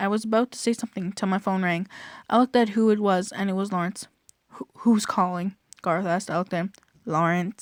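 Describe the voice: Against a quiet background, the speaker engages in plain reading aloud.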